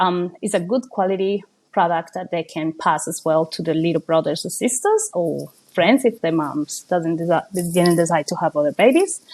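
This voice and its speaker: A woman speaks with a Colombian accent. Her pitch sits fairly low. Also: ordinary pitch variation, moderate pace. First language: Spanish. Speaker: small business owner. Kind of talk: interview. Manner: hesitant, many fillers.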